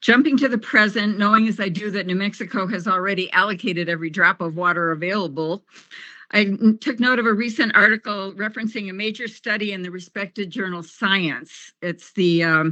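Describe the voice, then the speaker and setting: At a fairly quick pace, a woman speaks in a medium-pitched voice with a bright, sharp tone and ordinary pitch variation. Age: 70s. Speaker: public commenter, retired kindergarten teacher. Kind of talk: public hearing testimony.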